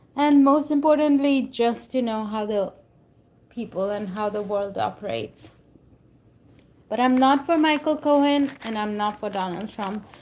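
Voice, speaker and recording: With long, frequent pauses, a woman speaks at a moderate pace and a fairly high pitch, her pitch varying in an ordinary way. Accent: strong Indian. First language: not English. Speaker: book reader and commentator. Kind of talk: reading aloud with commentary.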